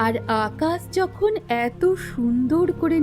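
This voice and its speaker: With music in the background, a woman speaks in a soothing, calm tone. Her pitch swings very widely. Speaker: narrator. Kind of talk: poetic story narration.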